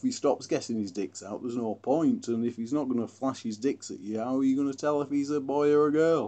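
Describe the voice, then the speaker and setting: At a moderate pace, a man with a Derbyshire accent speaks at medium pitch with ordinary pitch variation. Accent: northern English, Glossop dialect. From Glossop, northern England. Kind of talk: casual educational talk.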